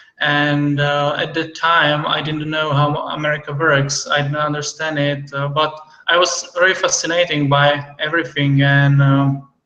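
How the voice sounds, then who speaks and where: Amid audible room echo, a man with a fairly high pitch speaks at a moderate pace in monotone, flat intonation, with hardly any pauses. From Czech Republic. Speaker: entrepreneur, visa holder. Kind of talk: interview. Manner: hesitant, many fillers.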